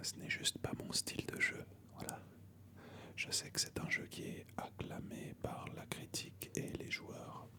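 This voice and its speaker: Whispering at a very slow pace, a man speaks over noticeable background noise. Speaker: ASMR creator. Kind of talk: ASMR video game collection show-and-tell. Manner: whispered.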